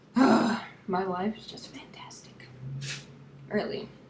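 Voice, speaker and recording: Very slow speech from a woman, with audible room echo and noticeable background noise. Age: 20s. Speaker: vlogger. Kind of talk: personal vlog monologue.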